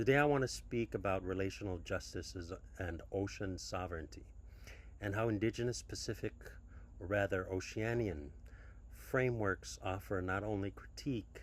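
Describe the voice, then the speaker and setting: With a Micronesian accent, a man speaks at a moderate pace in a very deep, low pitch with vocal fry and lively intonation. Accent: Micronesian (Chuukese) English. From Micronesia (Chuuk). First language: Chuukese. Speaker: academic researcher. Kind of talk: conference talk. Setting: pre-recorded video. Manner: formal; hesitant.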